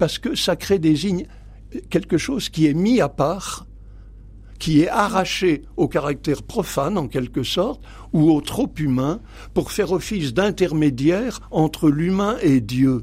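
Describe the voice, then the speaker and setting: Lively intonation runs through this man's high-pitched voice. He speaks at a fairly slow pace. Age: 80s+. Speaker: priest and theology professor. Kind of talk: radio interview. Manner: halting, with many hesitations.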